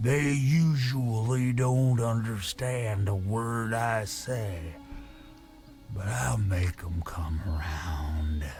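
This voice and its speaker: Putting on a character voice, a man speaks very slowly at a medium pitch against clear background noise. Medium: video game. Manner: rambling, darkly humorous.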